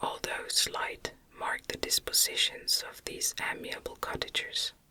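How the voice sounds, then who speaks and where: A whisper in a soothing tone at a fairly slow pace, over noticeable background noise. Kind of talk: ASMR whisper reading of a classic novel, bedtime story. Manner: whispered, soft, soothing.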